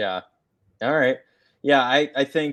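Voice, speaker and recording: A man talks at a moderate pace. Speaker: sports podcast co-host. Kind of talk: casual sports talk. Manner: halting, stumbling over words.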